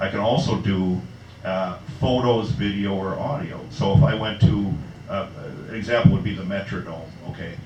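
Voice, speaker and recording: Someone speaks with an American accent and ordinary pitch variation, with audible room echo and light background noise. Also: man. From Minnesota. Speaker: website founder presenting his site; presenter. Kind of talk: live presentation to an audience. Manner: fast; casual, halting with fillers. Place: bar. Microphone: camera far.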